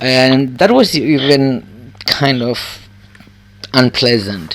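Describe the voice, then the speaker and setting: Speaking very slowly with a Cypriot accent, a man varies his pitch in an ordinary way over noticeable background noise. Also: medium pitch for a man. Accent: Greek Cypriot. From Cyprus. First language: Greek. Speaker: benefits claimant. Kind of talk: phone assessment interview. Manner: halting.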